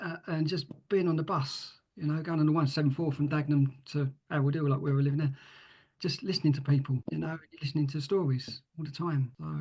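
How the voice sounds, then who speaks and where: Talking at a very fast pace, a man with an East London accent sounds somewhat breathy at a fairly high pitch. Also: fairly even intonation. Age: 50s. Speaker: author and writing mentor. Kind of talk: podcast interview. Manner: halting, many fillers and repeats.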